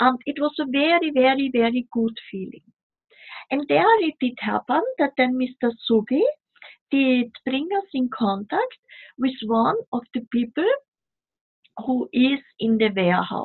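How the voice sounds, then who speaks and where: The pace is fairly slow, with long, frequent pauses. Intonation stays lively in a non-native accent. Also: woman, high pitch for a woman. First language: not English. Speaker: spiritual delegate. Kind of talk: casual chat. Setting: video call.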